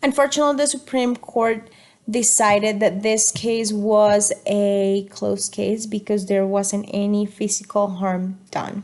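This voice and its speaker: With a Spanish accent, a woman speaks at medium pitch and a fairly slow pace, keeping her intonation fairly even. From Colombia. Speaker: student. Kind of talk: class presentation. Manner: halting.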